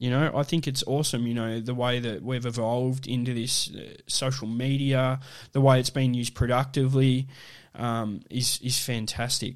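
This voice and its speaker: On a very clean recording with a silent background, a man with an Australian accent speaks at a moderate pace and medium pitch in a monotone, flat intonation. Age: 30s. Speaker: podcast host. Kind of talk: casual solo monologue. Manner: halting, many fillers.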